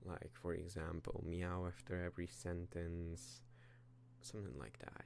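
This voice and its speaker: A soft-spoken man with a very deep, low pitch, lively intonation and a fairly slow pace. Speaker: ASMR content creator. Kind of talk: ASMR roleplay, personal attention, soft-spoken talk to camera. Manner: soft-spoken, hesitant, somewhat stuttery, improvised.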